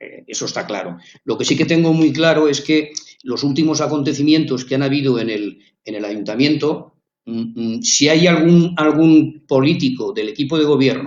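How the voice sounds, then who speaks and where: A man talks at a moderate pace. His pitch is fairly high and varies in an ordinary way. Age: 60s. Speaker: local resident, community activist. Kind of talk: radio interview. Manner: halting, many fillers and repetitions.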